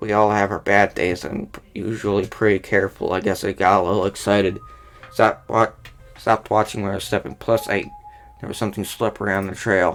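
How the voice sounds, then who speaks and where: Over background music, a man puts on a raspy character voice, fairly low in pitch, talking at a fairly quick pace with fairly even intonation. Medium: game stream.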